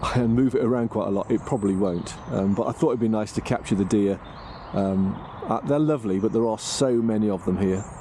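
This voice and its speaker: A man talks at a fairly quick pace. He has a fairly low pitch and a British accent. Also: ordinary pitch variation. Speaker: vanlife vlogger, campsite caretaker. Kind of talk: casual vlog narration. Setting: outdoors. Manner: hesitant, many fillers; quiet.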